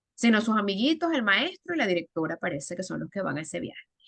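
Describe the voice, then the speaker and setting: The speaker has a Venezuelan accent. The sound is dry and close, with no echo. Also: woman. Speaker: storyteller and educator. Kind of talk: interview.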